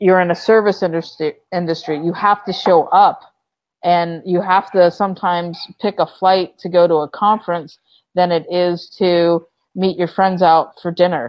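Speaking slowly-ish at a fairly slow pace, a woman with a fairly low pitch keeps a monotone, flat intonation. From US, Florida (Orlando area). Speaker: entrepreneur, company founder. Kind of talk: interview. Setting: video call.

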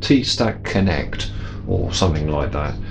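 Against light background noise, a man with a fairly low pitch has an unremarkable speaking voice. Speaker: workshop hobbyist reviewer. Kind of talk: casual product review chat. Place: workshop.

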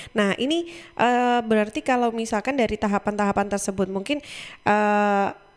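In an ordinary speaking voice, a woman talks at a moderate pace with ordinary pitch variation. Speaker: radio host. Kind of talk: radio talk show. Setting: studio. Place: studio. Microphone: studio mic.

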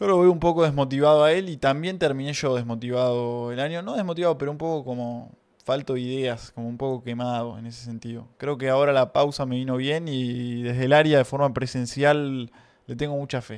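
A man at a fairly quick pace with big swings in loudness, over a quiet background. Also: medium pitch for a man, fairly even intonation. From Argentina. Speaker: streamer. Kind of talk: casual chat. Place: home room. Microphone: studio mic.

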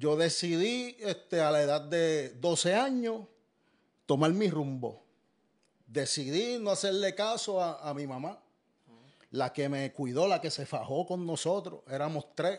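This man's voice sits high for a man, with lively intonation, as he talks at a fairly slow pace. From Puerto Rico. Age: 40s. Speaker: former inmate giving testimony; guest. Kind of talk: testimony. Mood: earnest, reflective. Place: studio. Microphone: studio mic.

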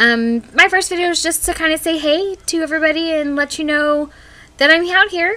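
At an extremely high pitch, a woman uses a raised, projected voice with a bright, sharp tone, a moderate pace, and ordinary pitch variation. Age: 20s. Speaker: vlogger. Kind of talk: casual vlog intro. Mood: friendly, upbeat. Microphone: webcam.

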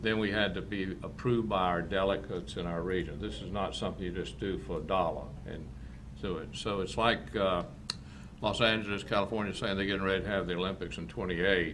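With a North Carolina accent, a man speaks at a fairly quick pace in a very deep, low pitch with vocal fry and ordinary pitch variation, and the room echo is audible. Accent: Southern US (North Carolina). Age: 70s. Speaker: farm and shooting facility owner. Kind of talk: public comment at council meeting. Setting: county board meeting.

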